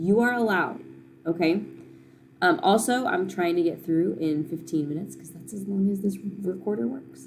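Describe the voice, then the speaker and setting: Big swings in loudness, plus audible room echo. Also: woman, moderate pace. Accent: American. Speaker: middle school science teacher. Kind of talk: recorded class lesson. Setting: recorded at home.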